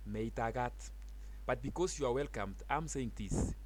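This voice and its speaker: In a Kenyan accent, a man speaks at a fairly slow pace. There is audible room echo. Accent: Kalenjin accent in English. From Kenya, Uasin Gishu County. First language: Kalenjin (Keiyo), also Swahili. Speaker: teacher. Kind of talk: language tutorial.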